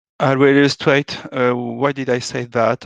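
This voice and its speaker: The speech carries a French accent. The sound is dry and close with no echo, over a quiet background. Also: man. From France. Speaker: software architect, conference speaker. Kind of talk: conference talk. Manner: hesitant, many filler sounds.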